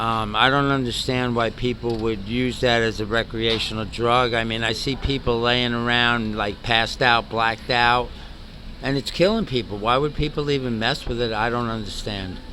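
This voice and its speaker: Noticeable background noise runs under a man with a slight New York accent, who talks at a moderate pace in a medium pitch with fairly even intonation. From New York City. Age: 60s. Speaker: homeless retired navy chief. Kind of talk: street interview. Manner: halting.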